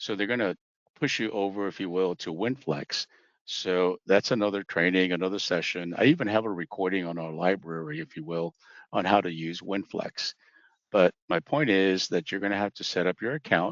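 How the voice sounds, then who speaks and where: A man talks at a very deep, low pitch with ordinary pitch variation. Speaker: insurance trainer. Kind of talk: online training presentation. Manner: fast.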